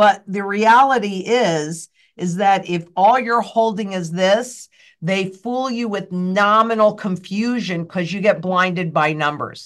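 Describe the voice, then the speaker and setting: This woman has an American accent and a fairly slow pace. Her pitch varies in an ordinary way over a quiet background. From United States. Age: 60s. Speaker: financial guest expert. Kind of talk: interview chat. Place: office. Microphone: webcam.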